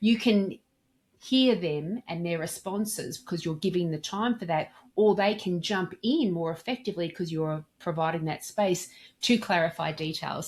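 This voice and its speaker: On a very clean recording with a silent background, a woman's somewhat breathy voice sits fairly low in pitch, moving at a moderate pace with ordinary pitch variation. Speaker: dental practice communication trainer. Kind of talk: interview.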